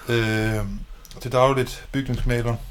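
A man at a medium pitch. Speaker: podcast co-host, house painter. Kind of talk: casual chat.

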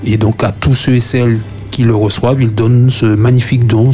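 A man talks at a moderate pace in a medium pitch. His intonation is fairly even, with noticeable background noise behind him. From Martinique, Fort-de-France. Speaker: youth panelist. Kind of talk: radio panel discussion.

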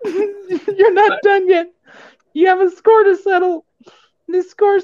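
A woman's put-on character voice, strained and extremely high-pitched, at a fairly slow pace.

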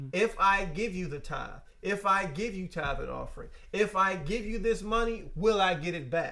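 A man with a high pitch projects his raised voice in a bright, sharp tone at a moderate pace with ordinary pitch variation. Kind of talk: casual faith-based podcast conversation. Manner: stutters, laughs at himself.

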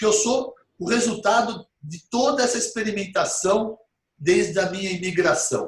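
A man talks in a high voice. His pitch varies in an ordinary way. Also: moderate pace. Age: 50s. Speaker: physician. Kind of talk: interview. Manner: animated.

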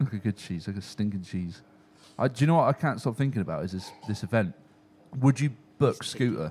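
A man's medium-pitched, somewhat breathy voice at a fairly quick pace, with lively intonation and long, frequent pauses. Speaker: podcast co-host. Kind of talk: casual chat.

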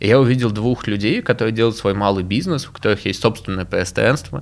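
A man's unremarkable speaking voice, fairly low in pitch with ordinary pitch variation, on a very clean recording with a silent background. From Moscow, Russia. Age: 20s. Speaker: education entrepreneur. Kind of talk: interview.

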